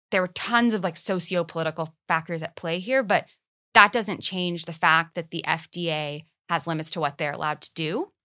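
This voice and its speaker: In a very clean recording with a silent background, a woman with a fairly low pitch speaks at a fairly quick pace in a bright, sharp tone, with ordinary pitch variation. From Israel. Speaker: psychedelic policy advocate. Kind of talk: interview conversation.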